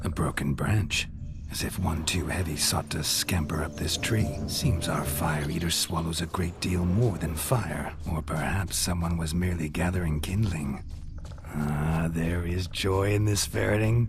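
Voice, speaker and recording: A put-on character voice speaks at a moderate pace over loud music in the background. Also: man, very deep, low pitch for a man. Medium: machinima. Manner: theatrical, florid.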